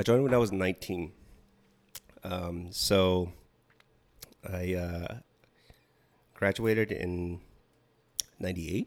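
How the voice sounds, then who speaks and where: Speaking slowly in an American accent, a man with a very deep, low voice keeps his intonation fairly even and leaves long, frequent pauses. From Washington State, small rural town. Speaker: Navy veteran, podcast guest. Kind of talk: casual interview chat.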